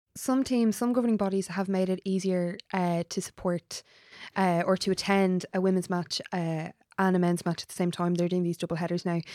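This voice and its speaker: Speaking at a fairly quick pace with an Irish accent, a woman has a medium pitch and a dark, mellow tone. Her loudness stays very even, and the sound is dry and close with no echo. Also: fairly even intonation, very clean recording, silent background. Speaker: podcast co-host. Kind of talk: podcast interview.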